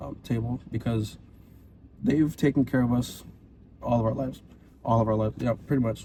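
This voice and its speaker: With a Hawaiian accent, a man talks at a fairly quick pace and medium pitch in a dark, mellow, somewhat breathy tone, with fairly even intonation and long, frequent pauses. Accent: Hawaiian local English. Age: 20s. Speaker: podcast co-host. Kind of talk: casual chat.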